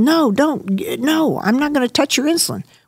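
A woman with an American accent and very wide pitch swings at a moderate pace, in a very clean recording with a silent background. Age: 70s. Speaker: surgeon and clinic cofounder. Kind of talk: casual interview chat. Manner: passionate, animated.

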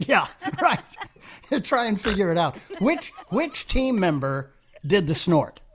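A man speaks at a fairly slow pace with long, frequent pauses, his high pitch making very wide swings. Noticeable background noise sits behind him. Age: 70s. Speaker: radio talk show host. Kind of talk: call-in radio talk. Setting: radio studio.

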